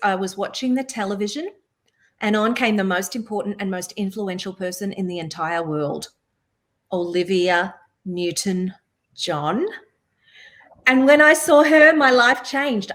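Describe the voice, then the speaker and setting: A woman with an Australian accent at medium pitch, fairly slow pace, lively intonation and long, frequent pauses. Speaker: singer, songwriter and voice-over artist. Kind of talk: interview answer. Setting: webinar video call.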